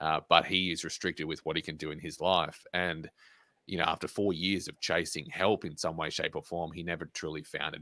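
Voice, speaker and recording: Bright, sharp tone in a monotone, flat delivery at a fairly quick pace, dry and close with no echo, on a very clean recording with a silent background. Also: man. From Australia. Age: 20s. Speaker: motivational speaker and pilot. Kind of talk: interview.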